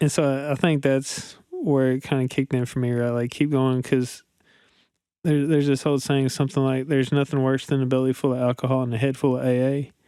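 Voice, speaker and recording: On a very clean recording with a silent background, a man with an eastern Kentucky accent speaks at a fairly quick pace and medium pitch in a dark, mellow tone, with monotone, flat intonation and very even loudness. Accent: eastern Kentucky-sounding. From central Kentucky, rural. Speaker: guest in recovery. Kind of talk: personal testimony in interview.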